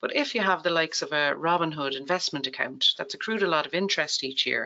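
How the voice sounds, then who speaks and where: The speaker has an Irish accent. The delivery comes at a very fast pace. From Ireland. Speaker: tax account presenter. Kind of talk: webinar presentation.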